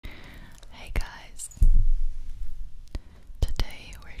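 Through noticeable background noise, the speaker can be heard whispering. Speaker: ASMR creator. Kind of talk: ASMR whispering. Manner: whispered, very soft.

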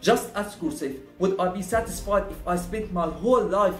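Over faint music in the background and audible room echo, a man with a high pitch speaks with ordinary pitch variation. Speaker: motivational vlogger. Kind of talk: casual vlog chat. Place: home room.

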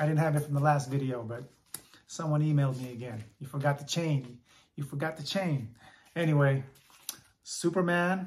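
The voice is somewhat breathy. It moves at a moderate pace. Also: man. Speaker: comic book collector. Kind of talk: casual vlog chat. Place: home room. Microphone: phone near.

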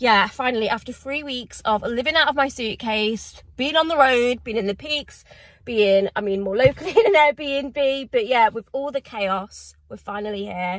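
A woman talks at a high pitch and a moderate pace, with ordinary pitch variation and hardly any pauses. The sound is dry with no echo over a quiet background. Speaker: vlogger. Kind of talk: casual vlog chat. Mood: excited, emotional. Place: car. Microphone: phone near.

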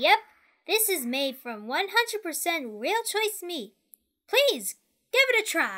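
Extremely high pitch with very wide swings, a very slow pace and long, frequent pauses. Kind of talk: comic sketch. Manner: cheerful street-vendor calling.

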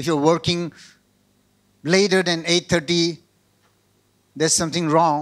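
A man speaks very slowly in a high, monotone, flat voice with a Northeast Indian accent. The background is quiet. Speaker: pastor. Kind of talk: sermon. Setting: video call. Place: church. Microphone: handheld.

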